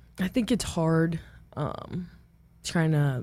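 A woman with an American accent has a very deep, low pitch and a dark, mellow tone that is somewhat breathy. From Omaha, Nebraska, US Midwest. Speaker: college softball pitcher. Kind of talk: interview.

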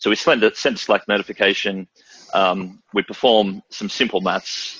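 The speaker is a man. He has an Australian accent. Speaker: systems engineer. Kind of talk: product demo webinar.

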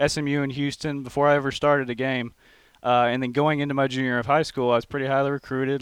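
Against a quiet background, a man with a Texas accent talks at a very fast pace in a medium pitch with monotone, flat intonation. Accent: Texas twang. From Texas (College Station). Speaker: college football player. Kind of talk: interview.

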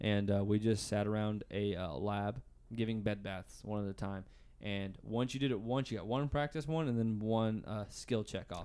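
A man talks at a fairly low pitch with a dark, mellow tone. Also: ordinary pitch variation, moderate pace, very clean recording, silent background. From US South, Arkansas. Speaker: podcast co-host, nursing student. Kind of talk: casual chat. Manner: loud.

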